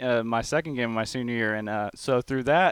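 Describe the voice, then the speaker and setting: A man talks in a Texas accent with fairly even intonation. The recording is very clean, the background silent. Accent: Texas twang. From Texas (College Station). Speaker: college football player. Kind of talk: interview.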